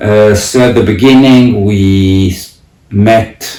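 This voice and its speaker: Against noticeable background noise, a man with an Italian accent and fairly low pitch speaks with lively intonation. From Italy. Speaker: parent and academic. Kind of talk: interview reflection. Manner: halting, many fillers.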